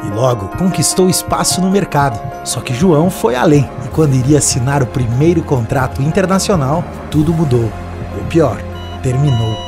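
Moderate-paced speech with clear music in the background. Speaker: commercial narrator. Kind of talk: TV commercial read. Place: studio.

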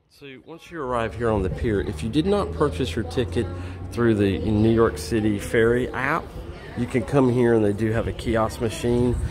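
Faint music plays in the background while a man, at a moderate pace, speaks with big swings in loudness. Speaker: traveler vlogger. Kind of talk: casual travel tutorial. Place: waterside. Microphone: phone near.

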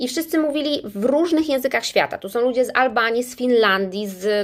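A woman's high-pitched, animated voice with lively intonation at a fairly quick clip. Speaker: English teacher and business trainer. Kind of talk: casual livestream talk to viewers. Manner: animated, chatty.

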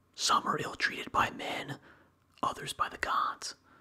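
Whispering, a man speaks in a calm tone. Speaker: ASMR reader. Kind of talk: ASMR whisper reading of a book. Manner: whispered, slow, soft and calm; even, measured and soothing. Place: home room. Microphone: studio mic.

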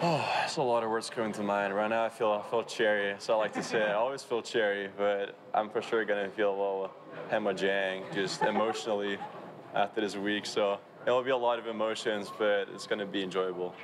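A man speaks at a fairly low pitch with fairly even intonation. Noticeable background noise runs underneath. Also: fairly quick pace. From Europe. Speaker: college volleyball player. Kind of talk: interview answer. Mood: relaxed, smiling, reflective. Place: street. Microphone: handheld.

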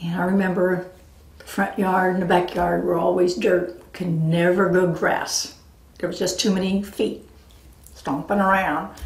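The voice has vocal fry and a flat monotone, moving at a fairly slow pace amid audible room echo. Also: woman. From US West Coast, San Diego area; California. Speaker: family storyteller recording life legacy. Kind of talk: personal memoir narration. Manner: relaxed, with frequent fillers (um, uh). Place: home room.

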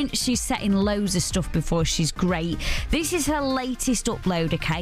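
Faint music sits in the background behind a woman's voice. Her tone is upbeat and enthusiastic, and the sound is dry with no echo. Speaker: radio presenter. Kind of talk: radio show hosting. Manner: upbeat, enthusiastic. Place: studio.

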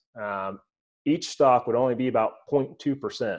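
The background is quiet. Words come at a fairly slow pace. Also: man. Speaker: guest. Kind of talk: interview answer. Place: home room. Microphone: webcam.

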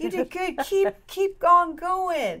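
A woman's pitch swings very widely as she speaks. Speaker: ministry co-host guest. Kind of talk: testimony in an interview. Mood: warm, earnest, laughing at times. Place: meeting room. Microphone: lapel.

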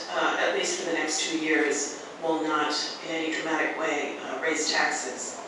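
The speech moves at a moderate pace. There is noticeable background noise and strong room echo. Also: man. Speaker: candidate. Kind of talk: debate answer. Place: hall.

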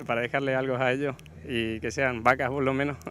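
Over light background noise, a man with a medium pitch speaks fairly quickly in a monotone, flat intonation, the sound dry with no echo. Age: 30s. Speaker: cattle breeder and buyer. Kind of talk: interview.

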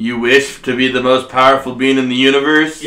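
A man in a put-on character voice of medium pitch, at a fairly quick pace. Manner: grandiose, then impatient.

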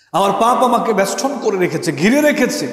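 A man speaks with lively intonation, and some room echo can be heard. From Bangladesh. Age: 30s. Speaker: Islamic preacher. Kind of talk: sermon. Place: hall. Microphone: headset.

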